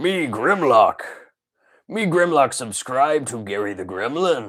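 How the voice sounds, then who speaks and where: A put-on character voice speaks at a fairly slow pace. The recording is very clean, with a silent background. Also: man, medium pitch for a man. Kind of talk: dim, broken speech in third person.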